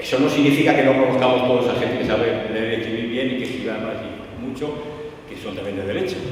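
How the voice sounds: A man at medium pitch and a fast pace, with ordinary pitch variation and strong room echo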